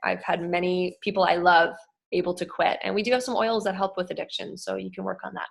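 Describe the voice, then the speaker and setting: With vocal fry at a medium pitch, a woman talks at a fairly quick pace and fairly even intonation over a quiet background. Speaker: wellness educator. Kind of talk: online presentation. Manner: fast.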